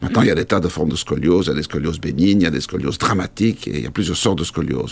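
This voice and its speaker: A man speaks with vocal fry. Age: 50s. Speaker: orthopedic surgeon. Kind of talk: interview.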